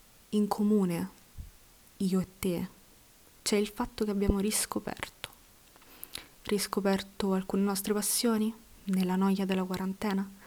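At a fairly slow pace, a woman with a medium pitch speaks in a monotone, flat intonation at very even loudness, with long, frequent pauses. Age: 20s. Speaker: podcaster and university student. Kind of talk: personal monologue.

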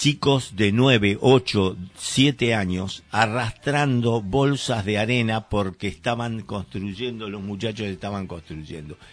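A man speaks very slowly in a fairly low pitch, with ordinary variation in his pitch. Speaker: community radio host. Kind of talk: casual chat. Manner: halting, many fillers and repetitions.

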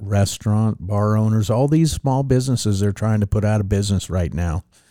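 The voice has an American accent and a dark, mellow tone with ordinary pitch variation. The recording is very clean, with a silent background. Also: man. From Reno, Nevada. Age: 50s. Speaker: city council candidate. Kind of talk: interview.

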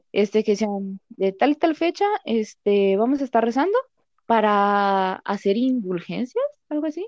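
With a Mexican accent, a woman speaks at a fairly slow pace. Her fairly high voice has lively intonation. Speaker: accounting assistant. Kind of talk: casual chat.

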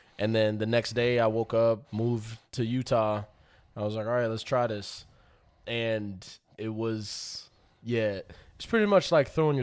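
A man with an American accent and a plain, everyday voice talks at a moderate pace with medium pitch. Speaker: podcast guest. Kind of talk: casual chat. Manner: laughs often.

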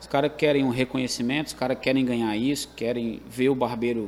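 With a Ceará accent, a man of medium pitch talks at a fairly quick pace with fairly even intonation. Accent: Ceará Northeastern Brazilian. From Calcaia, Ceará, Brazil. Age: 30s. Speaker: professional sports bettor, former barber.

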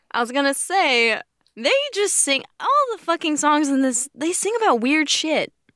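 A woman speaks in a high, raised, projected voice with a bright, sharp tone and an animated tone at a moderate pace. Her intonation is lively, and the sound is dry and close with no echo. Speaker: podcast host. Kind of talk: casual chat.

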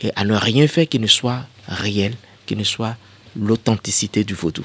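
Mid-range male voice, its pitch rising and falling in a normal way. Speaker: cultural heritage expert. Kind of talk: radio interview. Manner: hesitant, frequent fillers.

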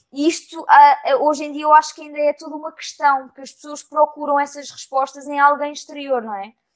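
A woman with a European Portuguese accent, high-pitched, at a fairly quick pace with hardly any pauses and fairly even intonation. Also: big swings in loudness. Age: 20s. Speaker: actress. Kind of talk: casual chat.

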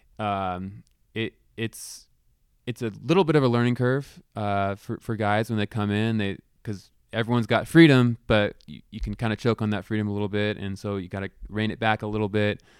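With an unremarkable speaking voice and an American accent, a man talks at a fairly low pitch, moderate pace and fairly even intonation in a very clean recording with a silent background. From Northern California, Palo Alto. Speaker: college basketball coach. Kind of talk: casual interview.

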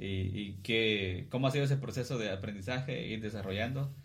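Through audible room echo comes a man's somewhat breathy voice with fairly even intonation. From Guatemala (Cuilapa, Santa Rosa). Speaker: podcast host and musician. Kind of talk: casual chat.

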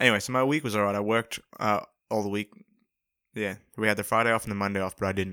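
A man with an Australian accent, fairly low pitch and a bright, sharp tone, very fast pace but long, frequent pauses, in a dry, close sound with no echo. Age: young. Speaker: podcast co-host. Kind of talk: casual chat.

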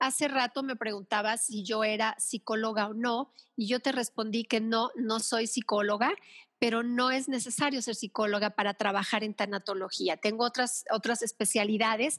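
A woman's ordinary speaking voice, fairly high in pitch, at a moderate pace with fairly even intonation, in a dry, close sound with no echo. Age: 50s. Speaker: thanatologist and Reiki therapist. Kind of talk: interview conversation.

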